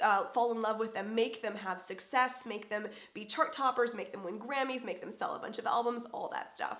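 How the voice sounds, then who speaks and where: A woman's fairly high voice at a fairly quick pace, with ordinary pitch variation and audible room echo. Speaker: musician and video host. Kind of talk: vlog monologue.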